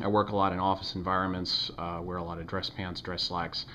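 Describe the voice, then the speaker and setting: This is a man speaking. His voice is very deep and low. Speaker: knife reviewer. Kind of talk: product review. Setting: home video recording. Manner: fast; halting, many fillers.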